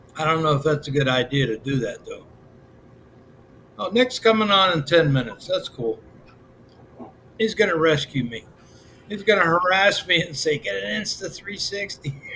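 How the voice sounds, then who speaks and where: Over noticeable background noise, a man with an American accent speaks in a high pitch at a moderate pace, with very wide pitch swings and long, frequent pauses. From Pennsylvania, US. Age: 60s. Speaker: livestreamer. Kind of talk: casual chat. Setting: live stream. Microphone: built-in webcam.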